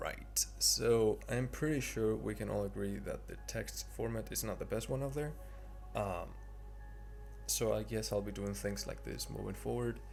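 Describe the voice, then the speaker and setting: With a non-native accent, a man speaks at a moderate pace. Music plays in the background, and room echo is audible. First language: not English. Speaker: 3D artist. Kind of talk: tutorial narration. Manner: hesitant, many fillers.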